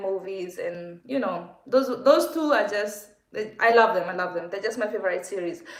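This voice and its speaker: A woman speaks with a Kenyan accent. Room echo is audible, and the background noise is noticeable. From Kenya, Nakuru. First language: Kikuyu. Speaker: vlogger. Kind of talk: casual livestream Q&A.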